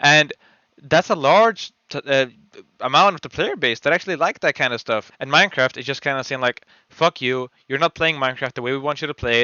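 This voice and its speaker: A man's fairly high voice moves along fairly quickly, its pitch shifting in an ordinary way. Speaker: gaming YouTuber. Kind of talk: unscripted rant. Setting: voiceover over gameplay footage. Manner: rambling, disfluent with fillers.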